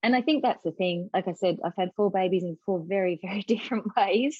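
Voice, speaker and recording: A woman of medium pitch with an Australian accent, a moderate pace and ordinary pitch variation. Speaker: mother of four, writer and writing coach. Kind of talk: podcast interview.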